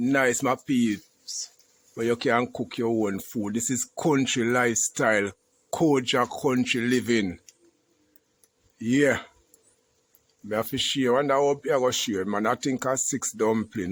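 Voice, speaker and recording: A man speaks with a Jamaican accent. His pace is fairly slow, broken by long, frequent pauses. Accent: Jamaican, patois. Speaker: YouTube vlogger, country cook. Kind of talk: casual cooking vlog.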